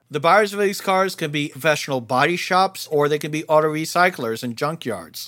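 In an American accent, the voice moves at a fairly quick pace with a bright, sharp tone and ordinary pitch variation. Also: man, fairly high pitch for a man. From New Jersey. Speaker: auto salvage industry expert. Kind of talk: interview.

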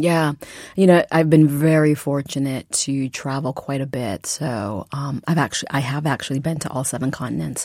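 Speaking in an American accent, a woman uses a very deep, low pitch, ordinary pitch variation and a moderate pace. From Massachusetts. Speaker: novelist and English professor. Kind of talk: interview.

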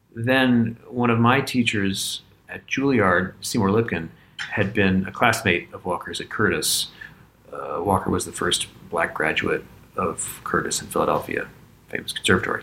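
In an American accent, the speaker talks at a moderate pace with ordinary pitch variation. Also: man, medium pitch for a man. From Virginia. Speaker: pianist. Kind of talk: interview. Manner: hesitant, with fillers and repetitions.

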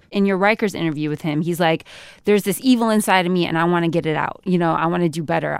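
A woman with an American accent talks at a very fast pace, using a fairly low pitch and ordinary pitch variation. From Sacramento, California. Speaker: podcast co-host. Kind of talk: casual chat.

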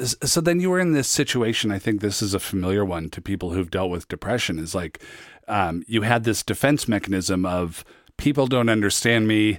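Using an ordinary speaking voice with an American accent, a man of fairly low pitch talks at a fairly quick pace with lively intonation on a very clean recording with a silent background. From US Pacific Northwest, Federal Way. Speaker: podcast host. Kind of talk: interview with scripted narration. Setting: studio.

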